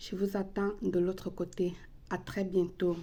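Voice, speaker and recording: Speaking with a non-native accent, a woman has a medium pitch and a dark, mellow, somewhat breathy tone. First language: not French (speaking French). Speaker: ritual practitioner and psychic. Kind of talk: tutorial. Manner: halting.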